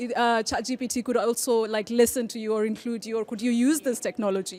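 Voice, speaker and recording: A woman with a Kenyan accent speaks at a very fast pace and a fairly high pitch. Her intonation is fairly even, with noticeable background noise. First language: Kikuyu. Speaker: debate moderator. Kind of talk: panel debate.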